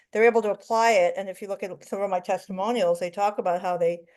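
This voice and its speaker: A woman's medium-pitched, very fast speech with fairly even intonation over a quiet background. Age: 60s. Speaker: life coach in a coaching class. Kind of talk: casual group class discussion.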